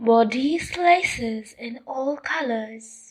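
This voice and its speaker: A woman's put-on character voice, high in pitch and very slow in pace. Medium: read story. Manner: wheedling, deceitful.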